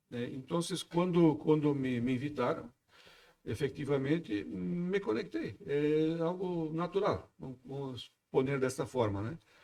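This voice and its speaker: With a Brazilian accent, a man speaks at a very slow pace in a fairly high pitch, his dark, mellow tone carried by lively intonation. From southern Brazil, Santa Catarina. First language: Portuguese (speaking Spanish). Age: 60s. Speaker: freemasonry official. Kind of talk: podcast interview. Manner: halting, with repetitions.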